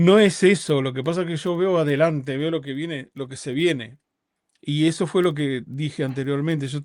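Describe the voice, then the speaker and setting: A man speaks at a moderate pace with fairly high pitch and ordinary pitch variation. The recording is very clean, the background silent. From Uruguay. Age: 50s. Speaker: rabbi. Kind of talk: interview conversation. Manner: halting, with repetitions.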